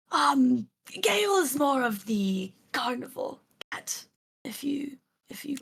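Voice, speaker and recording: In a raspy, put-on character voice, the speaker goes at a fairly slow pace with long, frequent pauses. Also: woman, high pitch for a woman. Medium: actual play. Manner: hesitant, halting, polite.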